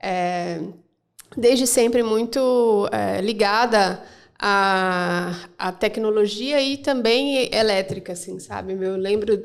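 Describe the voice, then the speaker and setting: At a medium pitch with ordinary pitch variation, this woman talks at a very slow pace. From Mato Grosso, Brazil (Rondonópolis). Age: 40s. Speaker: financial sector professional. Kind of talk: podcast interview.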